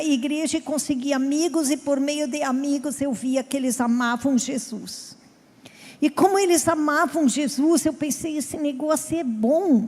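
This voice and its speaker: A woman speaks in a southern Brazilian accent at a high pitch. Her pace is fairly slow. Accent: gaúcho Brazilian Portuguese. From southern Brazil (Rio Grande do Sul). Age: 50s. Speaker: pastor. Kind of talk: sermon.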